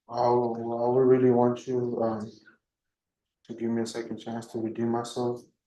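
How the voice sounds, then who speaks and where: A quiet man speaks in a dark, mellow tone at a medium pitch and a moderate pace. His intonation is monotone and flat, broken by long, frequent pauses. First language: Spanish. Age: 20s. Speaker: criminal defendant. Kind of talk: court testimony. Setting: courtroom. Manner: halting.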